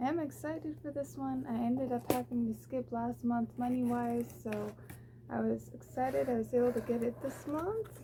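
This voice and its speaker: A woman speaks quietly at a moderate pace. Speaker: booktuber. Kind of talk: casual unboxing haul video. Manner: quiet, low voice; chatty, with fillers.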